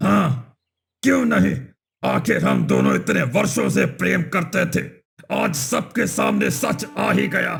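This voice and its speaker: A man puts on a raspy, menacing cartoonish character voice, talking at a fairly slow pace with very even loudness. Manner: menacing, gloating.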